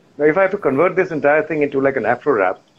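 A man speaks at a fairly high pitch with vocal fry. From India (Lucknow), then Zambia. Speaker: voice actor and singer. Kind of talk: casual interview.

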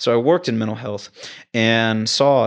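In an American accent, an unremarkable speaking voice moves at a moderate pace with fairly even intonation against a quiet background. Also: man. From Texas, Houston. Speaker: travel ICU nurse. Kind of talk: casual chat.

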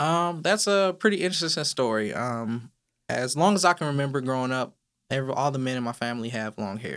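A man with an American accent and an unremarkable speaking voice, medium pitch, lively intonation and a fairly quick pace, on a very clean recording with a silent background. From California, Inland Empire. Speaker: police officer and advocate. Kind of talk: interview.

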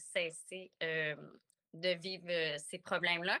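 On a very clean recording with a silent background and a dry, close sound with no echo, a woman speaks in a bright, sharp tone. Her intonation is monotone and flat, and her pace is very slow. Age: 40s. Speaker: cacao facilitator. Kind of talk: interview conversation. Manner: halting.

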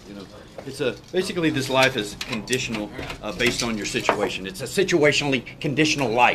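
A man speaks at a very fast pace. There is noticeable background noise. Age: 30s. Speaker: lifeguard. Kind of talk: casual chat.

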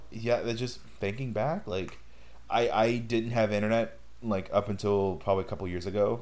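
Audible room echo surrounds a man speaking at a moderate pace with medium pitch and fairly even intonation. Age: 20s. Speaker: podcast host. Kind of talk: casual chat.

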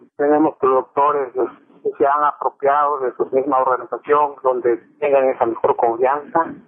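Pitched fairly high, a man speaks at a fairly slow pace in monotone, flat intonation. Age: 40s. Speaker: coffee farmer. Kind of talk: interview. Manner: halting.

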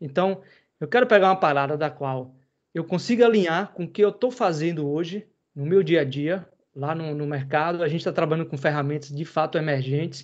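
A man with a plain, everyday voice speaks at a fairly quick pace with a fairly high pitch and ordinary pitch variation against a quiet background. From interior of Bahia, Brazil. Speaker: podcast host, computing lecturer. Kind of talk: casual chat. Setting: live video stream.

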